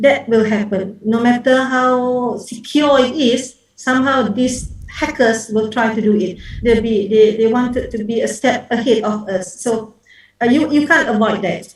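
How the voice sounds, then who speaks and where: Fairly slow, fairly even speech from a woman with a fairly high pitch, audible room echo around her. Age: 60s. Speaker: professor, conference speaker. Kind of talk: conference Q&A answer. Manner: hesitant, many fillers.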